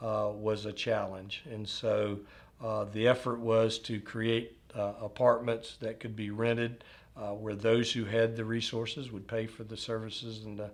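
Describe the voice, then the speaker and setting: With a Southern US accent, a man speaks at a fairly slow pace and medium pitch in monotone, flat intonation. His loudness swings widely. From US South, north Florida. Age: 50s. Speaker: retirement community executive. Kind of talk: oral history interview. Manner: halting, many fillers.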